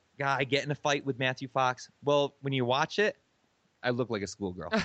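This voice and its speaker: With an American accent, a man has an unremarkable speaking voice, a fairly high pitch and a moderate pace. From Michigan, US Midwest. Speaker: musician and former TV extra. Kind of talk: interview storytelling.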